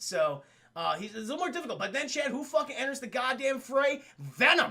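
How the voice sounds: A man talks at a fairly quick clip with a bright, sharp tone and lively intonation. His pitch is extremely high, and vocal fry runs through it.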